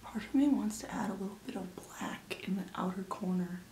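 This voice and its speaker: A woman is soft-spoken, with a medium pitch. Her pitch varies in an ordinary way. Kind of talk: makeup tutorial, casual talk to camera.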